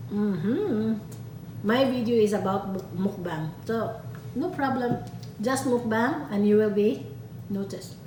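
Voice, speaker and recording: In a Filipino accent, a woman at a medium pitch talks at a fairly slow pace with lively intonation and long, frequent pauses, amid noticeable background noise and audible room echo. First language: Tagalog. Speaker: stay-at-home mom vlogger. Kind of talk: casual vlog chat, Taglish.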